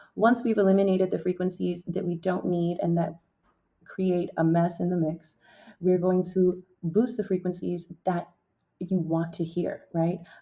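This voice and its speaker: A woman speaks in a fairly low pitch with a dark, mellow tone. Her delivery is somewhat breathy, with monotone, flat intonation. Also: fairly slow pace. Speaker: singer-songwriter and music producer. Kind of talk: tutorial; testimony.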